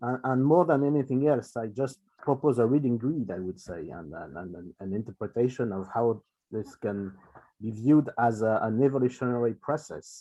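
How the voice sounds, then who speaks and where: A voice with a dark, mellow tone speaks in a French accent at a moderate pace with ordinary pitch variation. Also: man. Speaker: space policy researcher. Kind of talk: lecture. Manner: halting with many fillers.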